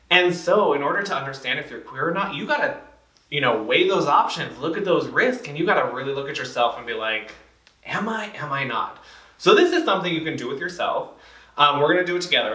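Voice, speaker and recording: Male speech under noticeable background noise, with audible room echo. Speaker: community trainer. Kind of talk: training presentation. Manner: fast; casual, filler-heavy.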